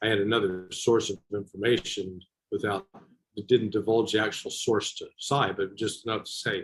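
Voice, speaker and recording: A man with an American accent talks at a moderate pace in a fairly low, somewhat breathy voice, his intonation monotone and flat while his loudness swings widely. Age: 60s. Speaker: former intelligence officer. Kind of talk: interview.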